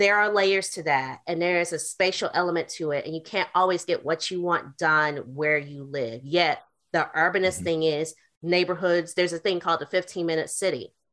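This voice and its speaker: Over a quiet background, a woman with a Southern US accent talks at a moderate pace, with a fairly low pitch and fairly even intonation. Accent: Southern US, regional diction kept. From US South, North Carolina. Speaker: urban planner, author, artist and activist. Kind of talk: interview conversation.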